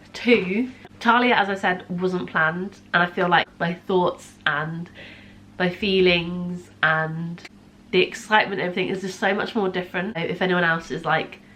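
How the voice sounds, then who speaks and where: A woman speaks with a fairly low pitch and fairly even intonation. Noticeable background noise can be heard. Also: moderate pace. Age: 20s. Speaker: vlogger. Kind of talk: casual vlog. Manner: quiet.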